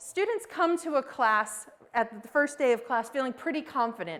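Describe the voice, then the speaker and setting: At a moderate pace, a woman with an American accent talks with ordinary pitch variation. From United States. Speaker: professor of education. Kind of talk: lecture. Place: classroom.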